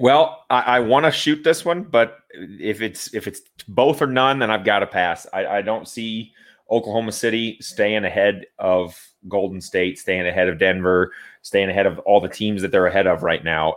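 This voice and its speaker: This man has an unremarkable speaking voice. He speaks at a moderate pace with a fairly low pitch. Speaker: radio co-host. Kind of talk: casual sports radio talk, analysis and segment explanation. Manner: conversational, relaxed, explanatory.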